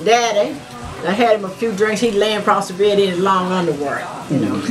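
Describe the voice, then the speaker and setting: A woman's fairly quick speech comes with noticeable background noise. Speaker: family member recalling stories. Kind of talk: interview answer, family storytelling. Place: home room.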